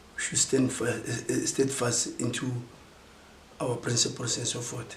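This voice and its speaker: Over noticeable background noise, a man speaks fairly slowly in a monotone, flat intonation. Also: medium pitch for a man. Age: 60s. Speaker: former political prisoner. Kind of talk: interview answer.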